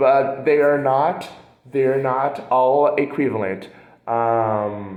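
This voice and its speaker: With a Portuguese accent, a man talks at a very slow pace and medium pitch, with ordinary pitch variation, very even loudness, and audible room echo. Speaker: translation student. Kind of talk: recorded class assignment presentation. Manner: hesitant, many fillers.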